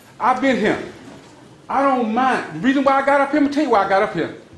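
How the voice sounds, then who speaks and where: Very fast delivery broken by long, frequent pauses, with noticeable background noise. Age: 60s. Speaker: public commenter at council meeting. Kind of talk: public comment at meeting. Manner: animated.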